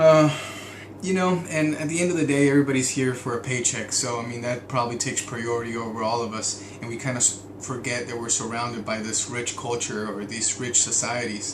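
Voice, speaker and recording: A man talks at a medium pitch with ordinary pitch variation. Audible room echo and noticeable background noise fill the recording. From Mexico. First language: Spanish. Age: 30s. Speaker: vlogger, oil and gas contractor. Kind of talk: video diary monologue. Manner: hesitant, many fillers.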